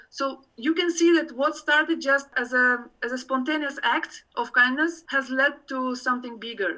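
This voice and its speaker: A woman's high, raised, projected voice with a bright, sharp tone and a moderate pace. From Tajikistan. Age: 40s. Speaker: university alumna, volunteer organizer. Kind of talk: podcast interview. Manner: hesitant, many fillers.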